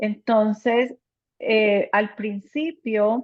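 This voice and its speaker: A woman with a Spanish accent, fairly high pitch, ordinary pitch variation and a very slow pace. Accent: Spanish accent when speaking English. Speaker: anesthesiologist. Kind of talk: conversational talk.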